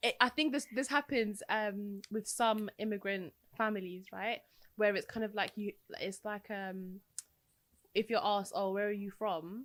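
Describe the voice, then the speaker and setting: A woman with a London accent talks at a moderate pace, her medium pitch held in fairly even intonation. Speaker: podcast co-host. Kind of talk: casual chat.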